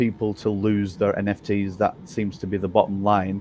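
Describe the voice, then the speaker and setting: With an English accent, a man speaks at a moderate pace in a fairly low voice. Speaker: game developer. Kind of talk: live Q&A stream. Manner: halting.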